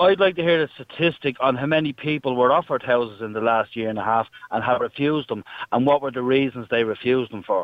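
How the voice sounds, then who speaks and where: The speaker talks at a very fast pace with an Irish accent and ordinary pitch variation. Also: man, medium pitch for a man. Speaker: caller. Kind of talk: heated debate. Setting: phone call.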